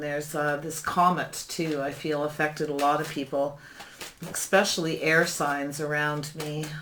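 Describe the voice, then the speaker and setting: Noticeable background noise under fairly slow talk. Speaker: tarot reader. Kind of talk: tarot reading. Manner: calm.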